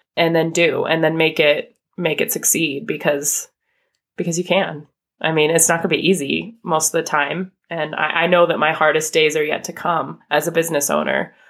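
A woman with an American accent has a very deep, low pitch. She speaks at a moderate pace in a monotone, flat intonation. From US, northern Idaho. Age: 30s. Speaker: small business owner. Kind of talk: interview conversation.

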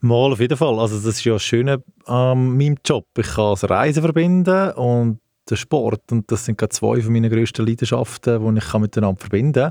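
A man's dark, mellow voice at medium pitch, fairly quick with ordinary pitch variation and very even loudness, in a dry, close sound with no echo. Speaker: sports travel company director, ex-footballer. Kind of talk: casual interview. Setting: studio.

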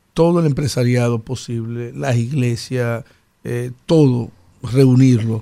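The man's tone is dark and mellow. He speaks very slowly with fairly even intonation. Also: medium pitch for a man. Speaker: mayoral candidate. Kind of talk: studio interview.

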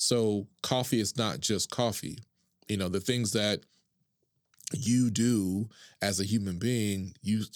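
With an American accent, a man speaks at a very slow pace in a fairly low pitch, using ordinary pitch variation. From Oklahoma, Duncan. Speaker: entrepreneur. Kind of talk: interview conversation.

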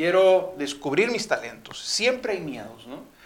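Pitched high, a man takes a fairly slow pace while his pitch swings very widely. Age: 40s. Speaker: motivational speaker. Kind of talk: testimony.

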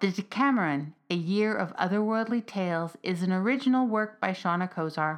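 What we hear is an unforced reading voice. That is the full description.

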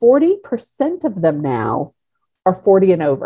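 A woman speaks at a very slow pace. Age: 50s. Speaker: social media marketing executive. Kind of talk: interview monologue.

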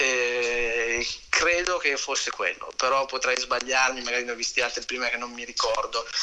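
There is noticeable background noise as a man talks at a moderate pace, his medium-pitched voice held in fairly even intonation. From northern Italy, Varese province. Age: 40s. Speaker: booking agent and music manager. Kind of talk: casual interview.

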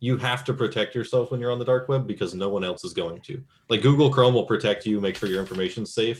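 A somewhat breathy man at a medium pitch, with ordinary pitch variation and a very fast pace. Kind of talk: casual chat.

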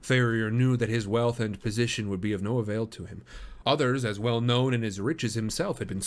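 Fairly even intonation in plain reading aloud

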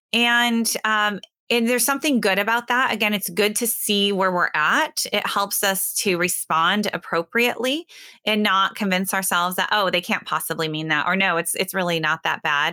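A woman with an American accent and a bright, sharp tone, medium pitch, ordinary pitch variation, moderate pace and very even loudness, in a very clean recording with a silent background. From US Midwest, northwest Iowa. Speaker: history professor and author. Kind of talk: interview conversation.

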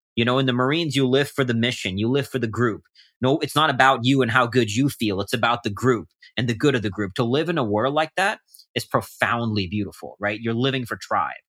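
A man with a plain, everyday voice, medium pitch, ordinary pitch variation and a fairly quick pace, in a very clean recording with a silent background. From India, moved to US at 13. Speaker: polar explorer and endurance athlete. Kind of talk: interview conversation.

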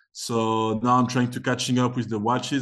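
This is a man with an unremarkable speaking voice. He talks at medium pitch and a moderate pace. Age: 20s. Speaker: tennis agent and former tennis player. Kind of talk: casual interview.

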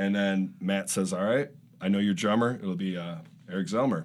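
With an American accent, a man delivers an ordinary speaking voice at a moderate pace with ordinary pitch variation, captured in a very clean recording over a silent background. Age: 40s. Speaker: punk musician, band frontman. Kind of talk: casual chat.

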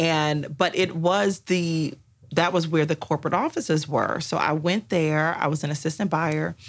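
Using a normal speaking voice, a woman in an American accent talks at a fairly low pitch and a fairly slow pace. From Washington, D.C. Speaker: intellectual property attorney. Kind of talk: interview.

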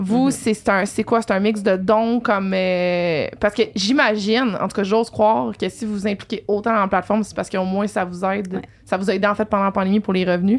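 A woman with an unremarkable speaking voice talks at a fairly quick pace with hardly any pauses. Her medium pitch carries fairly even intonation. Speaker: podcast host. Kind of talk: casual interview chat. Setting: live-streamed podcast.

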